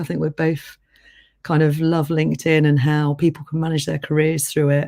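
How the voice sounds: Speaking at a fairly quick pace, a woman uses a low pitch and a slightly mellow tone, with vocal fry.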